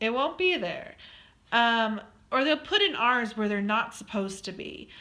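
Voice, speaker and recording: An American accent marks this woman's speech. Her tone is bright and sharp, and her pace moderate. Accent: Western US, kind of. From Colorado, US. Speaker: student presenter. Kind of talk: recorded slide presentation. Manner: casual, with many fillers.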